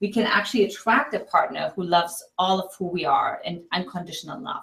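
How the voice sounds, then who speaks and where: A woman with a German accent speaks at a fairly quick pace, her medium pitch showing ordinary variation. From East Germany. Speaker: relationship coach. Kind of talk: interview.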